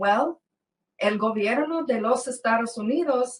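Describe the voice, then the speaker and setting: A woman's high-pitched voice with a non-native accent, ordinary pitch variation and a very slow pace. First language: English (speaking Spanish). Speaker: former government case worker, whistleblower. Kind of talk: interview. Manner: halting.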